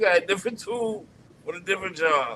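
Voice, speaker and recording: Speaking in an American accent, a man uses a high pitch and lively intonation. Noticeable background noise can be heard. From Washington DC. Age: 60s. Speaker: caller, musician. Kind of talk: casual chat.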